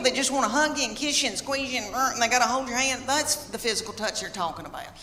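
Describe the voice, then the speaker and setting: A woman with a Southern US accent speaks in a raised, projected voice at a high pitch, her intonation lively over noticeable background noise. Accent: Southern American. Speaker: stand-up comedian. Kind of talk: stand-up comedy set.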